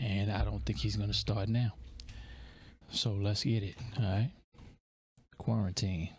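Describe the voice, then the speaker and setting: Fairly low in pitch and somewhat breathy, a man talks at a fairly slow pace with long, frequent pauses, very even loudness and ordinary pitch variation. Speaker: music reaction youtuber. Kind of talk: casual reaction commentary. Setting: home at night, children asleep. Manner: keeping voice down.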